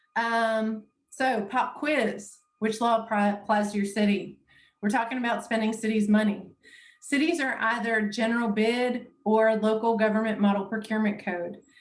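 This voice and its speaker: A somewhat breathy voice speaks with monotone, flat intonation amid audible room echo. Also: woman, fairly high pitch for a woman, moderate pace. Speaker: municipal law trainer. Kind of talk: lecture.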